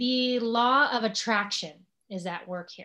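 In a very clean recording with a silent background, a woman with an American accent speaks at a very slow pace. Her tone is bright and sharp, with ordinary pitch variation. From US, Los Angeles. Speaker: social media marketer. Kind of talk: casual interview conversation.

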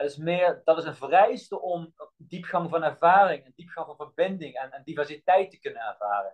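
Hardly pausing, a man talks at a moderate pace in a high voice, with big swings in loudness. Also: lively intonation. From Netherlands, Limburg (Melick), born in Bosnia. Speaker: health scientist and movement coach. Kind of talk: podcast interview. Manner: halting, searching for words.

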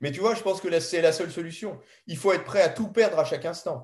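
A man talking at a very fast pace. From France, Paris. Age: 70s. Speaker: ethnobotanist and author. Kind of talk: interview conversation. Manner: hesitant, with filler sounds.

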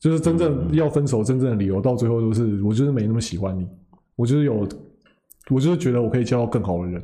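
A man with a Taiwanese accent, a medium pitch, a dark, mellow tone, lively intonation and a very fast pace, with audible room echo. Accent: Taiwanese Mandarin. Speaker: podcast co-host. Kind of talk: casual chat.

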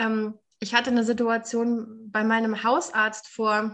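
The woman's voice is fairly high in pitch. The background is quiet. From Germany. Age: 30s. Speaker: recovering alcoholic, nonprofit worker. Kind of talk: interview testimony.

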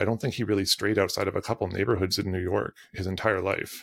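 With a Canadian accent and a normal speaking voice, a man speaks at a fairly low pitch with fairly even intonation on a very clean recording with a silent background. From Canadian prairies. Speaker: creative performance coach and photographer. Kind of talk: casual conversational podcast interview.

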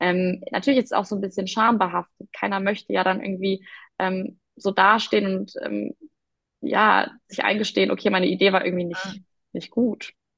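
A woman's voice with vocal fry, fairly even intonation and a moderate pace. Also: medium pitch for a woman, dry, close sound with no echo. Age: 20s. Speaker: startup founder. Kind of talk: interview. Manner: hesitant, many fillers.

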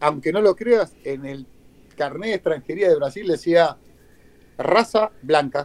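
Long, frequent pauses and big swings in loudness mark a man's fairly slow speech, which has a fairly high pitch, ordinary pitch variation and a dry, close sound with no echo. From Argentina, Buenos Aires area (Avellaneda). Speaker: retired footballer. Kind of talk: interview.

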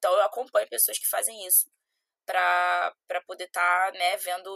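The sound is dry and close with no echo as a woman speaks at a fairly slow pace. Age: 20s. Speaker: CrossFit athlete and personal trainer. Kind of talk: casual interview chat.

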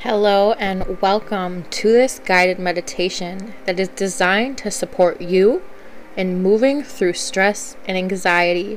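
A woman's soothing, calm voice at medium pitch, fairly slow in pace with ordinary pitch variation, over noticeable background noise. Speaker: confidence coach and podcast host. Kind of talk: guided meditation. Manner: slow, soothing, calm; gentle, unhurried, with soft pauses.

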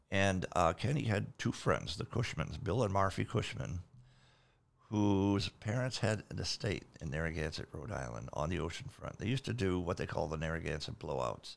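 A man speaks at a moderate pace in a very deep, low voice with vocal fry and very wide pitch swings. The recording is very clean, with a silent background. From Maine, South Portland. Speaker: rock keyboardist. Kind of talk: casual chat.

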